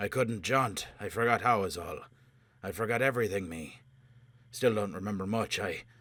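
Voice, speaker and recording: A man's put-on character voice, hoarse, croaky and raspy, fairly low in pitch, at a moderate pace with long, frequent pauses. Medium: read story. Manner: rough slangy clipped speech.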